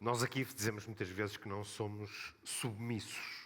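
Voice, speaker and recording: The speaker has a Porto accent and fairly even intonation. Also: man. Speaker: football club spokesman. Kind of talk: panel discussion.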